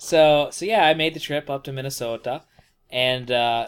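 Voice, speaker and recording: An unremarkable speaking voice from a man with an American accent, fairly high in pitch with ordinary variation, at a moderate pace. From rural wooded US state. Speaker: podcast co-host. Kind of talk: casual chat.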